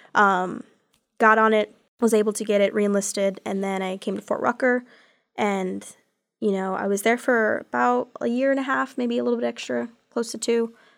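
A woman with an American accent has a plain, everyday voice at a medium pitch, with lively intonation at a moderate pace. The recording is very clean, with a silent background. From Texas, Odessa. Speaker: Army veteran and student veterans office worker. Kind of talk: interview.

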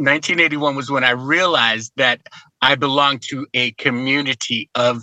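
A man with an American accent speaks at medium pitch and a moderate pace, his intonation fairly even. His tone is bright and sharp, and the sound is dry and close with no echo. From Chicago, US Midwest. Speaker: political activist. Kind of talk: casual chat.

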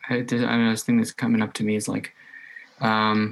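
A man talks at a moderate pace. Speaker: podcast host. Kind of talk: casual chat.

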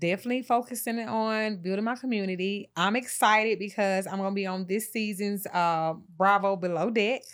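Using an ordinary speaking voice, a woman with a medium pitch talks at a fairly quick pace with hardly any pauses and fairly even intonation, in a very clean recording with a silent background. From Atlanta, US South. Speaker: lash and brow expert, beauty entrepreneur. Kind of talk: casual interview.

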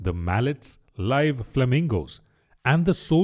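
This is an unforced reading voice. The words are read out in an unforced reading voice.

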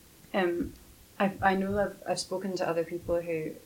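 Vocal fry runs through this woman's fairly low-pitched voice. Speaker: podcast host. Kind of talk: casual interview.

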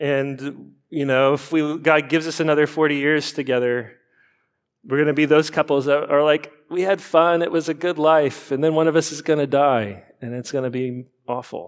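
Fairly high in pitch, a man with a normal speaking voice speaks at a moderate pace with fairly even intonation in a very clean recording with a silent background. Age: 40s. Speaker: pastor. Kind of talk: sermon.

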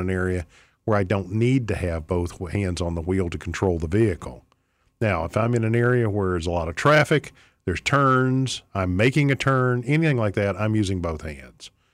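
In a very clean recording with a silent background, a man with an unremarkable speaking voice talks at a fairly quick pace, his fairly low pitch carrying lively intonation. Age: 50s. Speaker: radio host and attorney. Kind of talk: talk radio monologue. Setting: radio studio.

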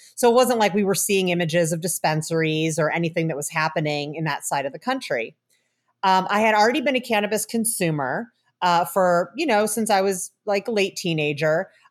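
In an American accent, a woman with an unremarkable speaking voice talks at a medium pitch and a fairly quick pace with lively intonation. The recording is very clean, with a silent background. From Chicago area, US Midwest. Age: 40s. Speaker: cannabis researcher and professor. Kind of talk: interview.

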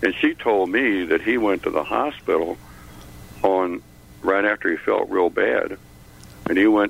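Over noticeable background noise, a man talks at a moderate pace in an American accent. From Chicago.

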